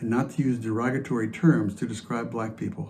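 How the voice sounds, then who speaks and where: His voice sits at a medium pitch for a man. Vocal fry runs through this man's speech. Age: 70s. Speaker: congregation member sharing reflection. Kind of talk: testimony.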